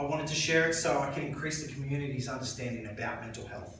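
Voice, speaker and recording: A man with a fairly high pitch and fairly even intonation at a fairly quick pace, with audible room echo and noticeable background noise. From rural New South Wales, Australia. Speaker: mental health speaker. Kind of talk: talk to a club audience. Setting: dinner meeting with audience.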